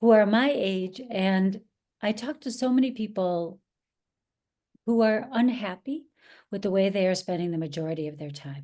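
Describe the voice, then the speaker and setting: A woman's medium-pitched, dark and mellow voice in an American accent, lively in intonation, with big swings in loudness, a moderate pace and long, frequent pauses. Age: 50s. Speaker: actress and acting coach. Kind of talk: interview conversation.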